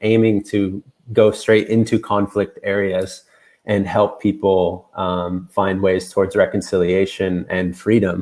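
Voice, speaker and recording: Speaking in an American accent, a man with a fairly low pitch goes at a fairly slow pace with monotone, flat intonation. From United States. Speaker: peace worker. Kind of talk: panel discussion.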